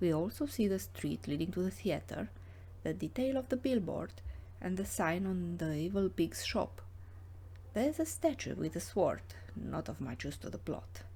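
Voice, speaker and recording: Long, frequent pauses break up a woman's speech, delivered at a moderate pace. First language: not English. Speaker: illustrator and comic artist. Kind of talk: narrated drawing walkthrough. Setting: home studio.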